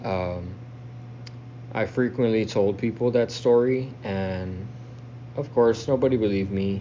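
An American accent comes through at a fairly slow pace, with fairly even intonation and long, frequent pauses. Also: man, medium pitch for a man. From South Texas. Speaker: listener telling own story. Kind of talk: self-recorded storytelling.

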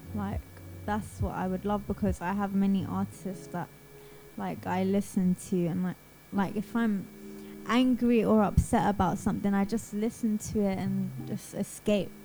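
A woman with a London accent at a moderate pace. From Southeast London, England. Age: 20s. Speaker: singer-songwriter. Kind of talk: radio interview.

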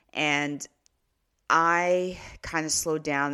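A woman's bright, sharp voice on a very clean recording with a silent background. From Canada. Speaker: podcast host and author. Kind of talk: motivational monologue.

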